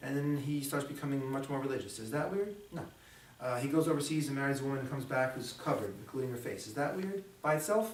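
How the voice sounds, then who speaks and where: Amid noticeable background noise and audible room echo, a man rushes along at a very fast pace with a fairly high pitch and ordinary pitch variation. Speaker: security trainer. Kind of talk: lecture. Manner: halting, many fillers.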